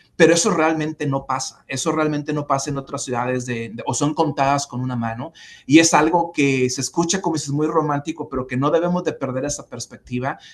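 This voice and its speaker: A man's fairly high voice with a Spanish accent, fairly quick with hardly any pauses and fairly even intonation. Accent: Spanish accent when speaking English. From Mexico. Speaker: former city official, civic leader. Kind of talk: interview. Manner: halting, many repetitions and fillers.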